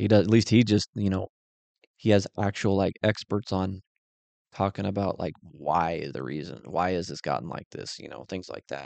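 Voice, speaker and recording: This man has a very deep, low pitch with vocal fry and ordinary pitch variation. He keeps a moderate pace, but his loudness swings widely. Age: 30s. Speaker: podcast host. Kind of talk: solo casual monologue. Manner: casual, filler-heavy.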